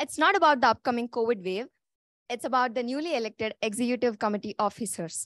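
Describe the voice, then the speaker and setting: A woman talks at a fairly quick pace in an Indian accent with a high pitch. The sound is dry with no echo, and the background is quiet. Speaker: meeting host. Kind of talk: formal meeting hosting. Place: classroom.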